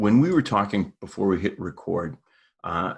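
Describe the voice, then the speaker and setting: Speaking with a Minnesota accent, a man has a fairly low pitch with ordinary variation. The background is quiet. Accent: Midwestern Minnesota. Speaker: podcast host. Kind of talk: interview.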